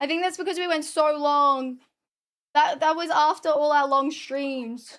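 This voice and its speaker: In an Australian accent, a woman talks at a fairly slow pace. Her pitch is high. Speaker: streamer. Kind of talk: casual chat. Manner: animated.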